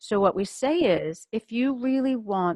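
In an unremarkable speaking voice, a woman talks at a fairly slow pace with lively intonation. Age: 60s. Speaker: podcast host, functional medicine coach. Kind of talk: casual interview chat.

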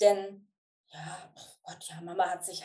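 Her dark, mellow tone at medium pitch, this woman speaks at a fairly slow pace. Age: 50s. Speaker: coach. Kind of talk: interview.

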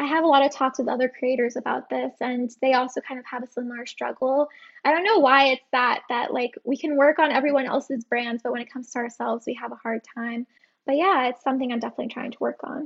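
A woman with a New Jersey accent talks very fast in a high voice, her intonation fairly even. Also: big swings in loudness. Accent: American, New Jersey. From New Jersey, US. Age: 20s. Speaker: freelance social media manager. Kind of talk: casual interview.

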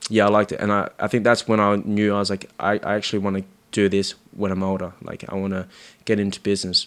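A man with an Australian accent talks very fast, his fairly low pitch held in monotone, flat intonation. The recording is very clean, with a silent background. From Sydney, Australia (Marrickville, Cabramatta). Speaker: bar manager. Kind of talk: casual chat.

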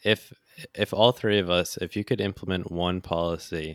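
A man with an American accent and a very deep, low pitch speaks with fairly even intonation, the sound dry and close with no echo on a very clean recording with a silent background. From US. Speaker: podcast host. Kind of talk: casual chat.

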